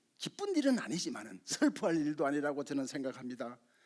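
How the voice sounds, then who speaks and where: This is a man speaking. His intonation is lively. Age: 60s. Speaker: community lecturer. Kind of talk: public talk.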